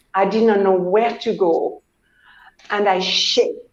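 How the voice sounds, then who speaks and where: This is a woman speaking. Room echo can be heard. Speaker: author and pilgrim. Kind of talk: interview.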